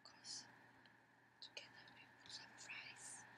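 A woman is whispering. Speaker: ASMR creator. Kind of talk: ASMR eating video with whispering. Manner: whispered, soft.

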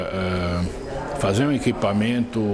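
Noticeable background noise runs under the recording. A man talks with fairly even intonation. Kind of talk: interview answer. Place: studio. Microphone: lapel.

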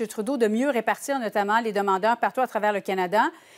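Speaking in a Quebec accent, a woman has a fairly high pitch and ordinary pitch variation. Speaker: TV news host moderating panel. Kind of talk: TV panel discussion. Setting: TV studio. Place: studio. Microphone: lapel.

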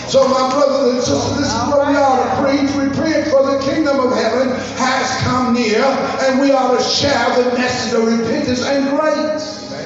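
Over clear music in the background, a man's voice sits extremely high in a monotone, flat delivery. Strong room echo surrounds it. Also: moderate pace. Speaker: pastor. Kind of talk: sermon. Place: church. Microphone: pa.

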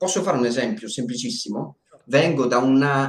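There is audible room echo on this recording. A man talks at a moderate pace in a somewhat breathy, medium-pitched voice. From northern Italy, Bergamo area; northern Italy. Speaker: documentary filmmaker and video editor; interview guest. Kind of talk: live stream interview. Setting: live stream. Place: home room. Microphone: video call.

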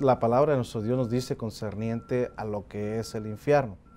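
A man's dark, mellow voice at a moderate pace. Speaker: preacher. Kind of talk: sermon. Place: studio. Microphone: lapel.

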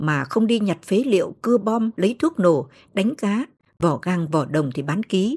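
At a fairly slow pace, a woman speaks at a medium pitch. Her pitch swings very widely. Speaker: audiobook narrator. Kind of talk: audiobook novel reading.

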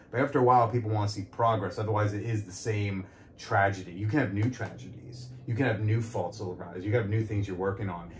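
Very fast speech with fairly even intonation and a somewhat breathy quality. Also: man, fairly low pitch for a man. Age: 30s. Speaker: podcast host and comedian. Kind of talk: casual interview chat.

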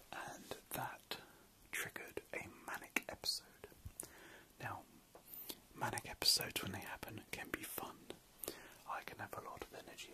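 A man whispering at a moderate pace, with long, frequent pauses. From British. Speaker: ASMR creator. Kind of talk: ASMR late-night ramble. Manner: whispered; soft-spoken. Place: home room. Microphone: phone near.

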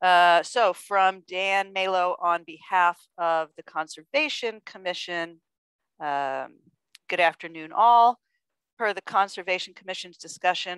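A woman at a fairly low pitch and fairly slow pace, with ordinary pitch variation, a dry sound with no echo and a quiet background. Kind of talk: meeting remarks, reading emails aloud. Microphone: video call.

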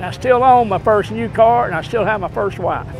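Against faint background music, a man with a Texan accent speaks at a high pitch and moderate pace, and the sound is dry with no echo. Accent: Texan Southern American. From East Texas. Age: 80s+. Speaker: military veteran. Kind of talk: interview answer. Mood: humorous, warm. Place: street.

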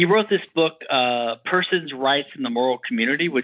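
In an American accent, a man talks at a moderate pace with an unremarkable speaking voice and ordinary pitch variation. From Louisiana, US South. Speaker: patent attorney and libertarian legal theorist. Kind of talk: podcast interview.

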